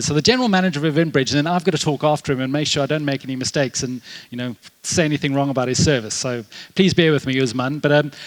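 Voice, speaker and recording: A very fast pace with a South African accent. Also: man. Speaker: tech conference speaker, developer advocate. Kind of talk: conference talk. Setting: stage with audience. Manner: casual, filler-heavy.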